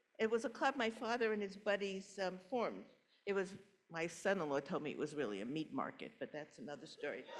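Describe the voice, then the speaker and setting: A woman with a New York accent talks at a fairly quick pace in a medium pitch, her voice carrying some vocal fry. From New York City, Brooklyn. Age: 80s+. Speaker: congregation member telling her life story. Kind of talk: personal testimony talk. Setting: church service, in person and online.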